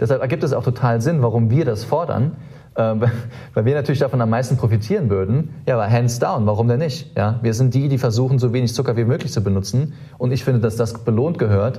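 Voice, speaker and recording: With audible room echo, a man speaks at medium pitch in a somewhat breathy, dark, mellow tone with very even loudness. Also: ordinary pitch variation. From Germany, Saarland. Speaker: startup co-founder. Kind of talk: interview conversation. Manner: hesitant, many filler sounds.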